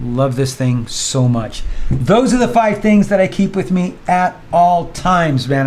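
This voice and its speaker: The man's tone is relaxed, and he keeps a moderate pace. Noticeable background noise runs behind him. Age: 60s. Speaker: vlogger. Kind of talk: casual vlog monologue. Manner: relaxed, conversational.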